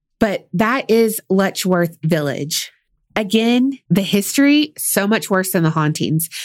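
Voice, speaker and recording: A woman with a Southern US accent, medium pitch, lively intonation, a very slow pace and very even loudness, on a very clean recording with a silent background. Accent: Southern US, country. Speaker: true crime podcast co-host. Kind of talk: casual storytelling chat. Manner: slow drawl.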